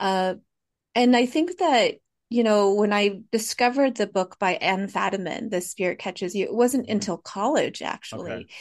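Her pitch is fairly high, with ordinary variation. The woman speaks at a moderate pace. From Fresno, California, US. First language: Hmong. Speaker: poet and author. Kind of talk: casual interview conversation.

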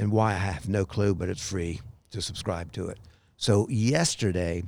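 The speech comes at a fairly slow pace in an unremarkable speaking voice. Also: man, very clean recording, silent background. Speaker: podcast host. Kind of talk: casual chat. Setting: outdoors. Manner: rambling, chatty.

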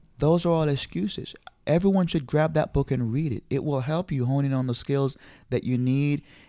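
A man speaks in a Jamaican accent at a fairly high pitch. His tone is dark and mellow, with ordinary pitch variation. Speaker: credit specialist. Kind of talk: casual interview.

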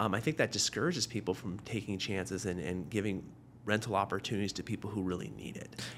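In a very clean recording with a silent background, a man speaks at a very fast pace with a Pacific Northwest accent. His voice is fairly low with ordinary pitch variation. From Tacoma, Washington, US Pacific Northwest. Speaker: city councilmember, former high school teacher. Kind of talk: interview.

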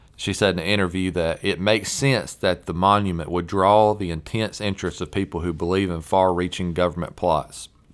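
Speaking with a Southern US accent, a man with a very deep, low pitch keeps his intonation fairly even and moves at a fairly quick pace with hardly any pauses. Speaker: podcast host. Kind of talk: casual chat.

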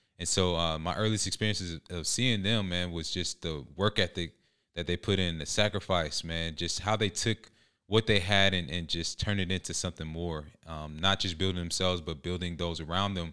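On a very clean recording with a silent background, a man with an American accent speaks at a very deep, low pitch in a bright, sharp tone, at a moderate pace with fairly even intonation. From Georgia, US (metro Atlanta). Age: 30s. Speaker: former pro football player, motivational speaker. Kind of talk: interview.

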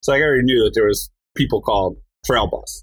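Speech with an American accent moves at a fairly quick pace on a very clean recording with a silent background. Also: man. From New Jersey. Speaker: professional mountain bike rider. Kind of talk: interview conversation.

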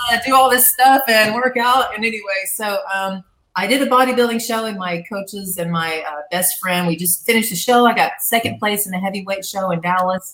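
Speaking with a Southern US accent, a woman keeps a fairly quick pace. Her fairly high voice shows ordinary pitch variation. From US South, Arkansas. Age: 50s. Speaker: former TV gladiator and boxing coach. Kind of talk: casual chat.

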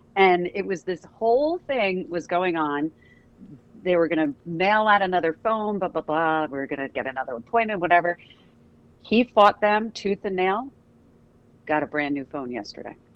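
Lively intonation marks a woman's speech, delivered at a moderate pace. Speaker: traffic reporter. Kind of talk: casual chat.

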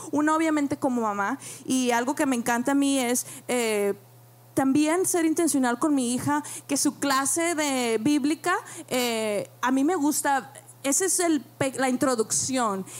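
Fairly slow delivery with long, frequent pauses, very even loudness and ordinary pitch variation. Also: woman, high pitch for a woman. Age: young. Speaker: church member, mother. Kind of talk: panel talk.

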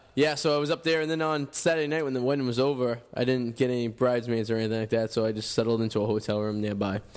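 Someone talks with a Boston accent. The pace is very fast. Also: man. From Revere, Massachusetts. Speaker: radio host. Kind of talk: casual chat. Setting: studio.

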